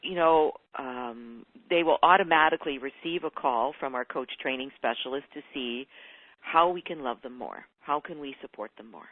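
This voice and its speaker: A woman speaks at a moderate pace. Her pitch is very deep and low, with ordinary variation. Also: big swings in loudness. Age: 60s. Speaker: coach trainer. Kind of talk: interview.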